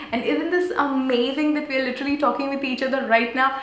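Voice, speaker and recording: Animated in tone, a woman talks with a high pitch. Audible room echo and noticeable background noise surround her. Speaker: youtuber. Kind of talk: live stream chat. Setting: small room, live stream. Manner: whispering. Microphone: possible echo, may be hard to hear.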